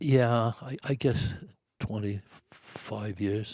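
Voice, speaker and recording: The man's voice sits at a medium pitch with a dark, mellow tone. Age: 80s+. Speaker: deer hunter and author. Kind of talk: podcast interview answer, storytelling.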